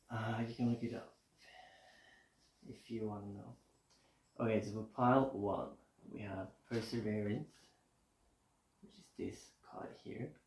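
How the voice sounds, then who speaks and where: A man talks at a fairly slow pace in a relaxed, somewhat breathy voice of medium pitch, with fairly even intonation. His loudness swings widely, and his pauses are long and frequent. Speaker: tarot reader. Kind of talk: casual tarot reading to camera. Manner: mumbling at times; relaxed, chill.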